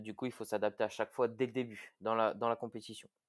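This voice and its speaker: This man's voice comes through on a very clean recording against a silent background. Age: 20s. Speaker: firefighter and CrossFit athlete. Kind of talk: podcast interview. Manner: hesitant, many fillers.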